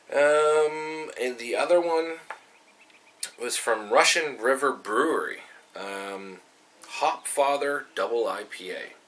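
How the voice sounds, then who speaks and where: Noticeable background noise sits behind a man. He speaks at a very slow pace. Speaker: homebrewer. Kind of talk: casual talk to camera.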